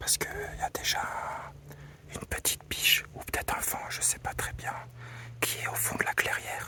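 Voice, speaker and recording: Whispering at a moderate pace, the speaker leaves long, frequent pauses over noticeable background noise. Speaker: wildlife photographer vlogger. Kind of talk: outdoor nature vlog. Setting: outdoors in forest clearing.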